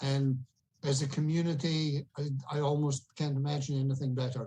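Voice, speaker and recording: Somewhat breathy with a dark, mellow tone, the voice carries a Scottish accent at a moderate pace. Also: man. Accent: Scottish, still noticeable. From Scotland. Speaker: auction guest, local community member. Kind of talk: casual chat.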